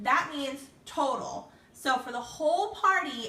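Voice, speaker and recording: Noticeable background noise and audible room echo surround a woman as she speaks. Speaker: direct sales consultant. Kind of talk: tutorial. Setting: Facebook live video stream.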